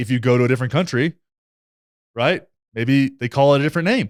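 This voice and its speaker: In a dry, close sound with no echo and a very clean recording with a silent background, a man speaks at a very fast pace and medium pitch, with an animated tone and lively intonation. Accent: American. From Texas. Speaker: political commentary YouTuber. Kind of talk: reaction commentary on clips. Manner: casual, animated.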